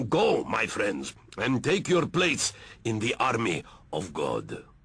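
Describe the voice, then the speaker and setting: Putting on a raspy character voice, a man speaks at a fairly slow pace with a medium pitch. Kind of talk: mock-solemn sermonizing. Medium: cartoon. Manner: grandiose, hypocritical, smooth.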